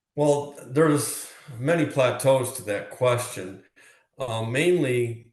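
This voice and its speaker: A man's medium-pitched, somewhat breathy voice with an American accent at a very slow pace. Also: ordinary pitch variation. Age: 60s. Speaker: former prisoner. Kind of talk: interview. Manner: hesitant, many fillers.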